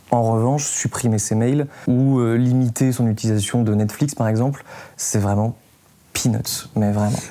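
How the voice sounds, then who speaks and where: An ordinary speaking voice from a man, medium in pitch, at a fairly slow pace with fairly even intonation and very even loudness. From south-east France. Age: 20s. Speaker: environmental podcaster. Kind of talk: interview.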